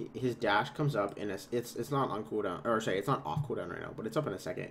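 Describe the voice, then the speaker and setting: A somewhat breathy man with a fairly low pitch, talking at a fairly quick pace. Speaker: esports analyst. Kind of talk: game VOD analysis on stream. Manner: casual, hesitant with fillers.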